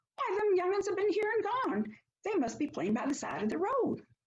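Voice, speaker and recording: A woman puts on a squeaky character voice with extremely high pitch and very wide pitch swings. Her loudness stays very even at a fairly quick pace. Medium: read story. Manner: folksy, plain-spoken.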